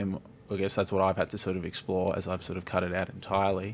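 A man speaks in a very deep, low pitch with an Australian accent. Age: 30s. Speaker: podcast host. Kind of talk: casual chat.

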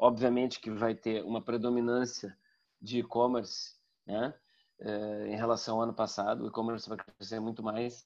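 The delivery comes at a moderate pace. Its intonation is flat and monotone. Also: man, medium pitch for a man. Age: 50s. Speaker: communication professor and marketer. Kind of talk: casual interview.

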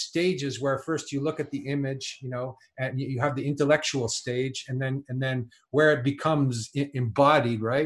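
The speaker has a Canadian accent and a somewhat breathy voice, with fairly even intonation. The pace is moderate, and the recording is very clean with a silent background. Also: man. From Canada. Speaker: writer and musician. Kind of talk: casual chat. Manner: halting, many repetitions.

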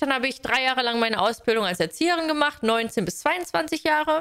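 The voice has a bright, sharp tone. Its intonation is lively. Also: woman. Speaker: podcast co-host, trained childcare worker. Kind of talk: casual chat. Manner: animated.

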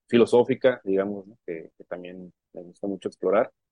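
An ordinary speaking voice with fairly even intonation. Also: man. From Mexico, Sonora (Puerto Peñasco). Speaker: independent musician. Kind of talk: interview.

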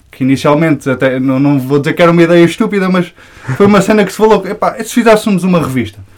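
Through noticeable background noise, a man talks very fast at a high pitch with lively intonation. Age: 20s. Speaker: hip-hop media creator. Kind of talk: casual chat.

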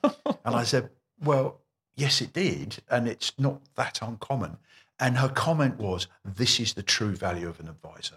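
A man with an English accent speaks at a fairly slow pace, medium in pitch with vocal fry. His intonation is lively, and the sound is dry and close with no echo. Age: 60s. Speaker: mortgage broker. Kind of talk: interview. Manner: repeats words when speaking.

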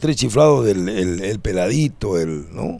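A man's fairly low, dark and mellow voice with very wide pitch swings. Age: 60s. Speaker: comedian. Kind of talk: casual chat. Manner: animated.

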